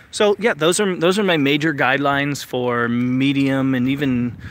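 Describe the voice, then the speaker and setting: A man's fairly high voice with ordinary pitch variation and noticeable background noise. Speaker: vlogger. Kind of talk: live stream tutorial. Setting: outdoors at night. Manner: hesitant, many fillers.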